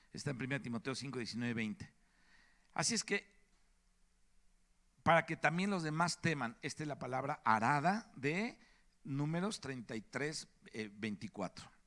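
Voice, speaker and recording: A man's fairly high, bright and sharp voice at a moderate pace, lively in intonation, with long, frequent pauses, on a very clean recording with a silent background. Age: 60s. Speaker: preacher. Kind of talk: sermon.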